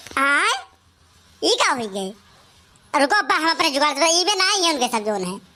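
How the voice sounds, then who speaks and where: A cartoonish character voice, high in pitch, races at a very fast pace with very wide pitch swings and long, frequent pauses. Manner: quick, emphatic.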